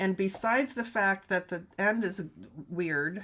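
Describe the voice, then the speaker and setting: A woman with medium pitch and ordinary pitch variation speaks in a plain, everyday voice. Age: 60s. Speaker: knitting teacher and video host. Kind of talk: live-streamed casual knitting show. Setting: home knitting studio, live stream. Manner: chatty and rambling, self-correcting.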